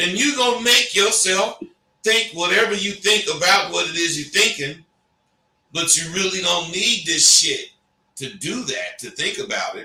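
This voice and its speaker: Speaking in a raised, projected voice, a man with a high pitch talks at a moderate pace in an animated tone. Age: 60s. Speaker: talk show host. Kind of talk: casual chat. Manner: halting.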